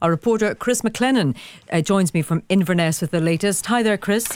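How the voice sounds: A woman's medium-pitched voice at a moderate pace, clear and smooth in tone, slightly mellow, with ordinary pitch variation.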